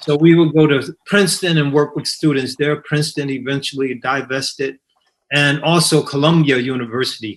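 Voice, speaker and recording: A man with an American accent has a normal speaking voice, fairly high in pitch, with fairly even intonation at a moderate pace. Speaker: imam and scholar. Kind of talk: panel discussion.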